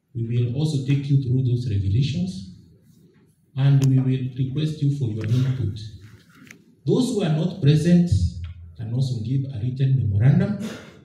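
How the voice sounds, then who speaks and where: A man at a moderate pace with medium pitch, ordinary pitch variation, long, frequent pauses and audible room echo. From Kenya. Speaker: board chairman of a public agency. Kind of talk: formal public speech. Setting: public forum with audience and microphone. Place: hall. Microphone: podium.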